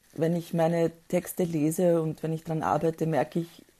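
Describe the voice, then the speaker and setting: Dark, mellow female voice, fairly low in pitch, monotone and flat, at a moderate pace against a quiet background. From former Yugoslavia. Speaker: poet. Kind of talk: interview. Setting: video call.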